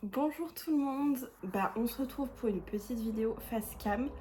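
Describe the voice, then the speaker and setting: A woman's normal speaking voice, at a moderate pace with ordinary pitch variation. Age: 20s. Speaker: YouTuber. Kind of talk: casual Q&A vlog. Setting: at home, face cam.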